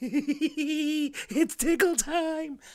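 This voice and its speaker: The voice is put on as a character. It is high-pitched and squeaky. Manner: playful, creepy-funny.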